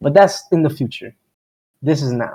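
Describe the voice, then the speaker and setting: At a fairly quick pace, a man with a Miami accent speaks in a dark, mellow tone. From Miami, Florida. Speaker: podcast host. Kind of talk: casual chat. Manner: casual, rambling with filler words.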